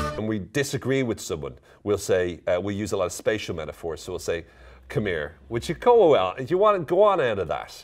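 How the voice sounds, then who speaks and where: A man with an Irish accent talks very fast in a very clean recording with a silent background. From Ireland. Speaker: psychologist and coach. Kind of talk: casual talk to camera. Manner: playful, upbeat.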